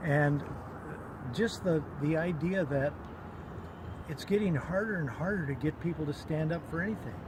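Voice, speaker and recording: A man with a fairly high voice takes long, frequent pauses. Noticeable background noise runs throughout. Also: ordinary pitch variation, moderate pace. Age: 70s. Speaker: protester. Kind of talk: interview answer. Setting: outdoors.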